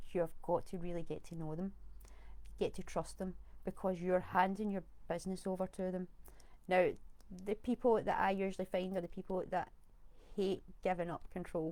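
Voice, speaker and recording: A woman speaks in a Scottish accent at medium pitch with a dark, mellow tone. Her intonation is monotone and flat, at a moderate pace with long, frequent pauses. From Scotland. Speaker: virtual assistant. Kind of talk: live video talk. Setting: live stream on camera.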